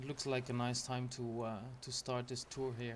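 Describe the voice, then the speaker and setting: A relaxed-sounding man with a non-native accent, fairly slow, in a monotone, flat intonation. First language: not English. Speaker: gaming YouTuber. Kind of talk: game walkthrough tour. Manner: hesitant, many fillers.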